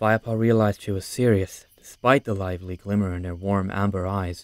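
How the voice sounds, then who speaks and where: An unremarkable speaking voice belongs to a man with a fairly low pitch and fairly even intonation, talking at a fairly quick pace. The recording is very clean with a silent background and has a dry, close sound with no echo. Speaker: audiobook narrator. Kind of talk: voice-acted audiobook narration.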